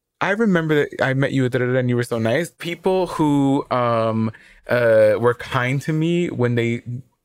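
Very cleanly recorded against a silent background, a man with a plain, everyday voice talks at a fairly slow pace, at medium pitch, with ordinary pitch variation. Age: 30s. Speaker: podcast co-host. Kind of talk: casual chat.

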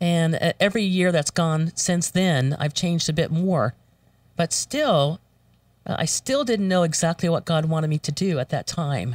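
In a plain, everyday voice, a woman with an American accent speaks at a moderate pace with fairly low pitch, ordinary pitch variation and very even loudness, the sound dry and close with no echo in a very clean recording with a silent background. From Florida. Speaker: voiceover artist. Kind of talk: testimony.

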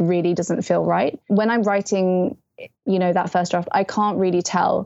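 A woman with a British accent, medium pitch and a moderate pace. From England, early childhood in Malaysia. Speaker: young adult novelist. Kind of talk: casual interview chat. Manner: animated.

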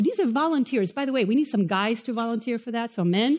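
A woman speaks at a high pitch with lively intonation. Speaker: pastor. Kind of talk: sermon. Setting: church with live audience.

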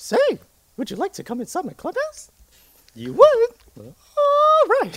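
A man's put-on character voice, extremely high-pitched and cheerful, at a fairly slow pace with long, frequent pauses. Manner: cheerful, inviting.

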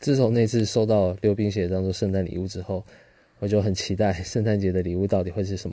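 A man with a Taiwanese accent, fairly low and dark, mellow in tone, fairly even in intonation and fairly quick in pace, on a very clean recording with a silent background. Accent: Taiwanese Mandarin. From Taiwan, Pingtung (rural south). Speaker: podcast host. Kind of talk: solo storytelling monologue.

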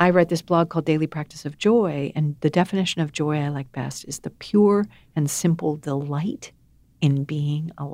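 A woman's dark, mellow tone in a very deep, low pitch, with an American accent and a moderate pace. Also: ordinary pitch variation. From US (grew up in a wealthy family). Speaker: author and speaker. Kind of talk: interview.

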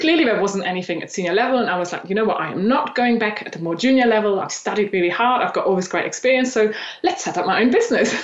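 A woman with a German accent talks at a very fast pace with a fairly high pitch, lively intonation and hardly any pauses. Audible room echo and noticeable background noise are present. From Eastern Germany. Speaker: personal branding coach. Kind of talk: interview.

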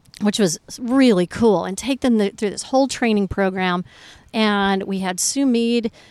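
A woman with a plain, everyday voice speaks at a medium pitch and a fairly slow pace with ordinary pitch variation, the sound dry and close with no echo on a very clean recording with a silent background. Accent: American. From Colorado. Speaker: off-road rally organizer. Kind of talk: interview. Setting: outdoors overlooking the ocean.

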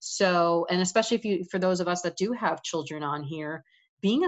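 Using a normal speaking voice, a woman with an American accent speaks at a moderate pace, her pitch fairly low with ordinary variation. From New York. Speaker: financial advisor. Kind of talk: interview.

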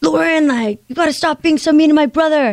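Using a put-on character voice, a woman talks at a fairly quick pace in a high pitch. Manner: toned-down, casual, not overly dramatic.

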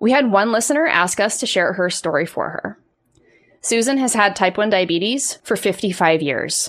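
Recorded very cleanly against a silent background, a woman with an unremarkable speaking voice talks at a moderate pace in a medium pitch with lively intonation. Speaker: podcast host and life coach. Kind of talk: podcast hosting, intro and outro.

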